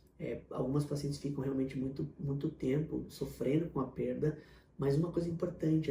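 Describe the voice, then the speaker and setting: Somewhat breathy, a man speaks in a dark, mellow tone with fairly even intonation. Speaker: fertility doctor. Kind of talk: Q&A video answering viewer questions. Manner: fast.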